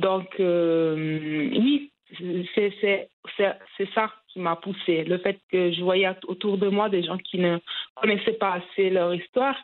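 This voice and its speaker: Pausing long and often, a woman with a medium pitch and ordinary pitch variation talks at a very slow pace. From Italy, of Cameroonian descent. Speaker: journalist. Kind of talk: interview. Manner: hesitant, many fillers.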